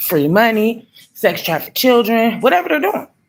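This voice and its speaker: With an American accent, a woman talks in an animated tone at a fairly quick pace. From Michigan. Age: 40s. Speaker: vlogger. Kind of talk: casual monologue rant.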